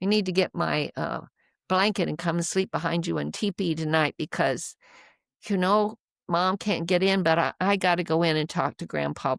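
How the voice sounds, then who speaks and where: With vocal fry and a fairly low pitch, a woman speaks at a moderate pace in a very clean recording with a silent background and a dry, close sound with no echo. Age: 70s. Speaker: spiritual teacher and elder. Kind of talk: interview conversation. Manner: halting.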